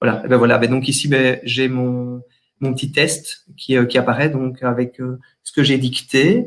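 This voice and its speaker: A man with a slight Walloon accent, at a fairly slow pace, in a flat monotone. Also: medium pitch for a man. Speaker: general practitioner. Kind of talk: webinar software demonstration. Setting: online webinar. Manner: hesitant, many fillers.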